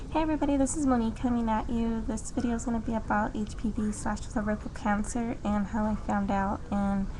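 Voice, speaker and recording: A woman with a fairly high pitch talks fairly quickly with hardly any pauses, very even loudness and fairly even intonation, with audible room echo and noticeable background noise. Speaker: vlogger. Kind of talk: personal testimony vlog. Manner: fast.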